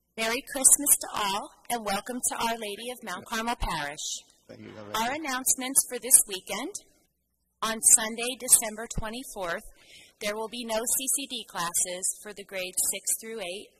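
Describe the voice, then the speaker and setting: A woman speaks with ordinary pitch variation. Noticeable background noise runs under her voice. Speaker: lay reader at mass. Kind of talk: church announcements reading. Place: church. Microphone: podium.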